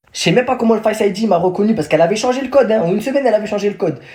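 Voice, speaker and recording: A man talks very fast in an animated tone, his pitch high. Background noise is noticeable. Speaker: storyteller vlogger. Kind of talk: casual storytime.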